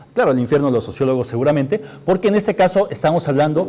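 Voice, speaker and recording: A man speaks with lively intonation. Noticeable background noise can be heard behind him. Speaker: TV show host. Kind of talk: live TV political humor show hosting.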